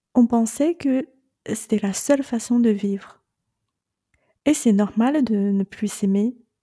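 In a Chinese accent, a woman speaks very slowly with a dark, mellow, somewhat breathy tone and ordinary pitch variation, in a dry, close sound with no echo. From China. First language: Chinese (speaking French). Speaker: podcast host and separation coach. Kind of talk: monologue podcast advice.

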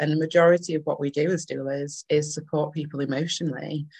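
Dry and close with no echo, a woman with a northern English accent talks at a fairly quick pace in a very deep, low voice with monotone, flat intonation. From Manchester, northern England. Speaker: doula. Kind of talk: casual interview chat.

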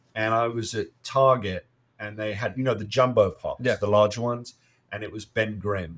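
A man with an English accent speaks at a fairly quick pace. His pitch sits in the middle range, and his intonation stays fairly even. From UK. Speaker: comic podcast co-host. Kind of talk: casual chat. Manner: halting.

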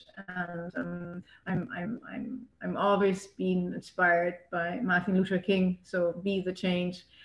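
Noticeable background noise sits behind a woman speaking at a very slow pace. Her medium pitch holds to a fairly even intonation. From Germany. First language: German. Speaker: yoga teacher and local political candidate. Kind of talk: casual interview. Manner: halting, many repetitions.

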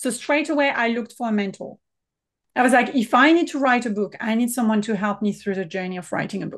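Against a quiet background, a woman with a French accent talks very fast at a fairly high pitch. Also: ordinary pitch variation. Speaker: business mentor and consultant. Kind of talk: casual interview chat.

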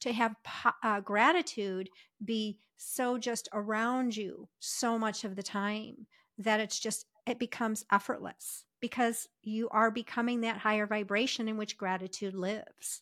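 A woman's normal speaking voice, fairly high in pitch, with fairly even intonation at a fairly slow pace, on a very clean recording with a silent background and a dry, close sound with no echo. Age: 50s. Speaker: podcast co-host, life coach. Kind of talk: casual chat.

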